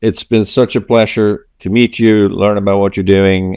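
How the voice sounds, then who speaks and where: A man speaks with a Swedish accent. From Sweden. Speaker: podcast host. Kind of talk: interview podcast conversation.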